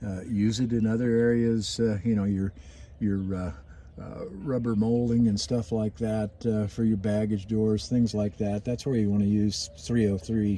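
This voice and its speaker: A man with a fairly low pitch, fairly even intonation and a moderate pace. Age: 60s. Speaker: RV owner giving maintenance tips. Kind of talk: casual tutorial video. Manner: halting, many fillers.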